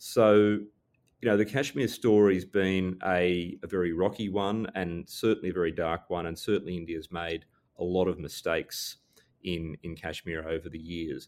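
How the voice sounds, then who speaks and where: Speaking in an Australian accent at a moderate pace, this man has a very deep, low pitch and fairly even intonation. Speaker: security scholar and former diplomat. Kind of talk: interview.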